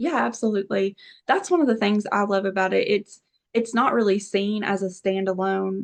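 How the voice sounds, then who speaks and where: A woman speaks in a normal speaking voice. Her pitch sits in the middle range and varies in an ordinary way. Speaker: therapist. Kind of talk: interview. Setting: podcast.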